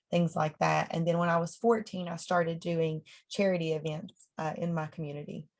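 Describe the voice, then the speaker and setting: A woman with a somewhat breathy, fairly low voice speaks at a moderate pace with ordinary pitch variation. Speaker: country singer. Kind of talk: casual chat.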